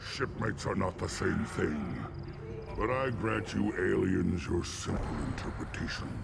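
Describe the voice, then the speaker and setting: A man puts on a character voice while loud background noise fills the recording. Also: moderate pace. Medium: video game. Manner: gruff, commanding.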